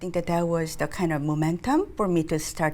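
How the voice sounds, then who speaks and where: With a Korean accent, a woman speaks at a very deep, low pitch on a very clean recording with a silent background. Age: 60s. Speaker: nonprofit executive director. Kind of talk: interview.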